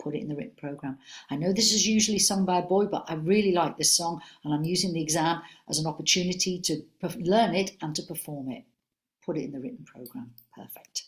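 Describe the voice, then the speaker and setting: A woman at a very fast pace, somewhat breathy and animated in tone, with ordinary pitch variation. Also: fairly low pitch for a woman. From Liverpool, England. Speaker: senior music examiner. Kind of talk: webinar Q&A. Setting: online webinar.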